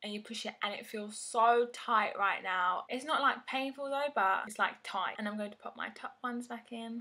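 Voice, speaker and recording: A woman's fairly high voice in a London accent, bright and sharp in tone, at a moderate pace with hardly any pauses, ordinary pitch variation and big swings in loudness. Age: 20s. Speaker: beauty vlogger. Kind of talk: casual vlog tutorial.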